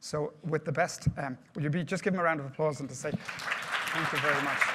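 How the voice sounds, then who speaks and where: Against crowd noise in the background, a man with an Irish accent speaks at a fairly quick pace, his pitch fairly high and his intonation fairly even. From Ireland. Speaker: project management speaker. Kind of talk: presentation to live audience.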